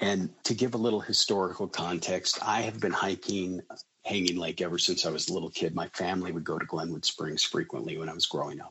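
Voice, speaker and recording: His voice is very deep and low for a man, with fairly even intonation. The man speaks at a fairly quick pace. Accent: General American. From Colorado, near Boulder. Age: 50s. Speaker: school district administrator. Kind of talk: interview storytelling.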